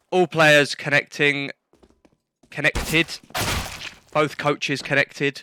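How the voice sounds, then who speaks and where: A man with a British accent speaks at a fairly high pitch in a bright, sharp tone, moving at a fairly slow pace with flat, monotone intonation. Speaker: esports caster. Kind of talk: live commentary. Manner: casual, chatty.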